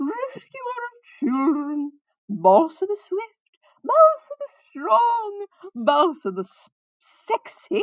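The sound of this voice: A woman does a put-on character voice at an extremely high pitch, speaking slowly with very wide pitch swings in a dry, close sound with no echo.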